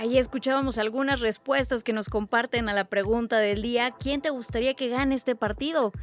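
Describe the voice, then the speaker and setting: Dry and close with no echo, the speaker talks with fairly even intonation and hardly any pauses while music plays in the background. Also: woman, high pitch for a woman. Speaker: radio news host. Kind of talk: radio news presenting. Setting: radio studio.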